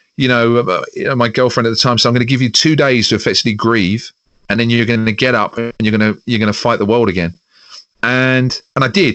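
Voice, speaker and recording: A man with a London accent, medium in pitch, at a very fast pace with fairly even intonation and very even loudness. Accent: Southern English (London). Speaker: radio presenter. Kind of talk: casual interview chat.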